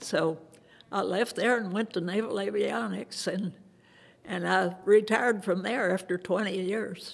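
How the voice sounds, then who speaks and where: Speaking at a fairly slow pace, a woman with a medium pitch shows ordinary pitch variation and vocal fry. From Kentucky. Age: 80s+. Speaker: WWII veteran. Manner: brief, unhurried answers with frequent hesitations like 'uh'; matter-of-fact, modest.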